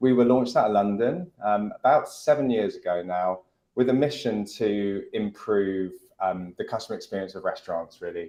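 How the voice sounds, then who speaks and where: With a British accent, this man talks at a moderate pace. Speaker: restaurant tech CEO. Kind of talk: panel discussion.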